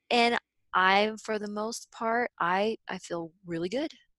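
On a very clean recording with a silent background, a woman speaks in an energetic tone with a dry, close sound and no echo. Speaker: subconscious reprogramming facilitator and business coach. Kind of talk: interview conversation.

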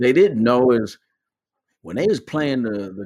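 Speaking with an American accent, a man with a medium pitch makes very wide pitch swings. The recording is very clean with a silent background. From Michigan, US (Pontiac / Auburn Hills). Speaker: retired Marine sergeant major and podcast host. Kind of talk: interview, personal testimony.

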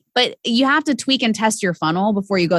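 This woman talks with lively intonation. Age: 30s. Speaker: sales and business coach. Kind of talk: casual interview chat.

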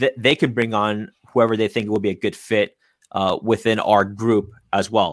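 A man speaks at a moderate pace in a medium pitch, a plain, everyday voice. The sound is dry and close, with no echo. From San Francisco Bay Area, California. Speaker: real estate agent. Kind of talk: interview.

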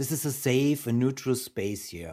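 With ordinary pitch variation, it is a normal speaking voice. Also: man. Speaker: podcast host. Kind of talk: interview, conversational. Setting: remote call.

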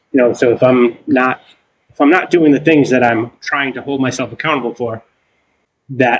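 The speaker has a plain, everyday voice and a fairly quick pace. The intonation stays fairly even. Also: man. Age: 40s. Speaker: ADHD coach, former construction manager. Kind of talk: casual interview chat.

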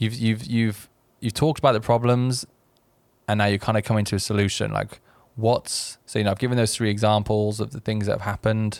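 In a very clean recording with a silent background, a man with a fairly low pitch speaks fairly quickly in a monotone, flat intonation. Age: 30s. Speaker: YouTuber. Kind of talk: casual chat. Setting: studio.

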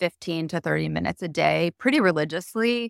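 A woman's plain, everyday voice with an American accent, fairly low in pitch, at a fairly quick pace, with a dry, close sound and no echo. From US Midwest, Chicago suburbs. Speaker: founder of a kids' online store. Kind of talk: interview conversation. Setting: remote call from Paris.

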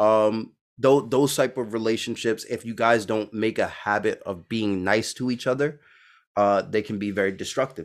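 In a very clean recording with a silent background, a man with an American accent uses an ordinary speaking voice at medium pitch, with fairly even intonation and a moderate pace. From Brooklyn, New York. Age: 30s. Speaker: podcast host. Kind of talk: casual interview.

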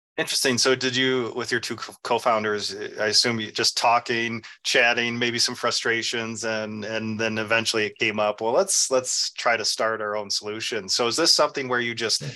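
An ordinary speaking voice, a man's at medium pitch, moves at a moderate pace with fairly even intonation. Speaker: podcast host. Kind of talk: interview chat.

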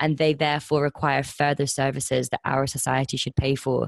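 Very deep, low pitch from a woman with a slight southern English accent, monotone, flat intonation, and a moderate pace, in a dry, close sound with no echo over a quiet background. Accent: slightly southern English, like Kent. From Highlands of Scotland, moved there aged seven. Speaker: social enterprise co-founder. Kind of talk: interview.

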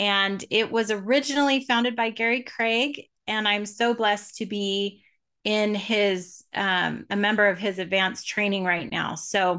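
A woman talks at a moderate pace with a medium pitch and a bright, sharp tone. Her intonation is fairly even, and the background is quiet. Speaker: tapping coach. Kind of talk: guided tapping session and interview.

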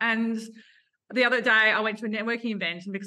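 Speaking very fast, a woman uses an Australian accent. Her fairly high voice has a bright, sharp tone. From Adelaide, Australia. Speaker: photographer and business owner. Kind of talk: casual interview chat.

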